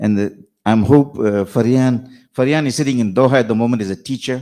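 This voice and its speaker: A man with a medium-pitched, dark and mellow voice and fairly even intonation. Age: 70s. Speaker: speaker at a book launch. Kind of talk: speech at a book launch.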